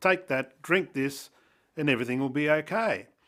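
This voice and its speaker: A man speaks at a fairly high pitch in a very clean recording with a silent background. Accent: Australian. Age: 60s. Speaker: person sharing lived experience of illness. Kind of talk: personal testimony interview. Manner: hesitant, many fillers.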